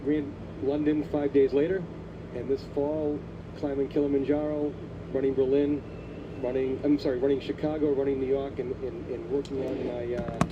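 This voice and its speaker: Against noticeable background noise, a man with a Boston accent speaks at a fairly high pitch with fairly even intonation and long, frequent pauses. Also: moderate pace. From Boston, Massachusetts (South Boston). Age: 60s. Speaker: cancer survivor and marathon runner. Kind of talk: broadcast interview.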